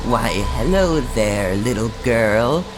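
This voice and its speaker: Over loud background noise, a man at medium pitch does a put-on character voice. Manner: loud, obnoxious.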